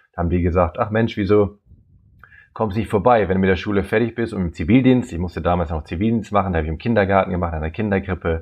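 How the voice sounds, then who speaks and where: This man's voice is very deep and low, and his words come out at a very fast pace. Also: ordinary pitch variation. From Germany, Nordhorn (Lower Saxony). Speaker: biologist and safari travel agent. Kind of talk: interview conversation. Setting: remote call. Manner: hesitant, many fillers.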